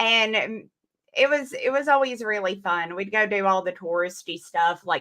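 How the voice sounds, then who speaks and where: The woman's tone is bright and sharp, in an Alabama accent. She speaks at a moderate pace. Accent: mild Alabama Southern. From Alabama, US South. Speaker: comic book creator. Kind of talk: casual chat.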